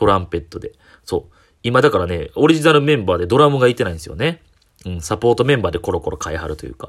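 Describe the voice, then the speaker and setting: A man talking very fast with a Kyoto accent, on a very clean recording with a silent background. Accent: Kansai (Kyoto) Japanese. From Japan, Kyoto (Shijo-Omiya). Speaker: comedian. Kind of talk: solo talk podcast monologue. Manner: casual, many filler pauses.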